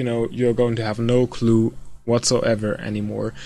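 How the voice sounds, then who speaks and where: A non-native accent at a moderate pace. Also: man. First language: not English. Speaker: gaming video creator. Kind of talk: casual tutorial. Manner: hesitant, many fillers.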